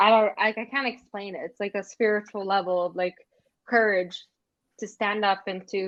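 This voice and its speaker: A normal speaking voice with a Canadian accent, fairly even intonation and a moderate pace. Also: woman. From Canada, First Nations community. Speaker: former foster youth and advocate. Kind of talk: interview testimony.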